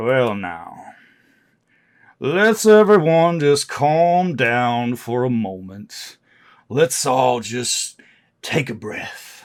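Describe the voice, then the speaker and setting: Using a put-on character voice, a man drawls at a very slow pace with a medium pitch, long, frequent pauses and very wide pitch swings. His loudness shifts widely, and the recording is very clean with a silent background. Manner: drawling, calming.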